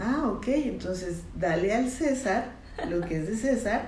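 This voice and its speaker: A woman talks very slowly at a fairly high pitch, her voice making very wide pitch swings. Noticeable background noise and audible room echo fill the recording. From northern Mexico, Chihuahua. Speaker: psychologist. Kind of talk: interview on a faith podcast. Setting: therapist's office.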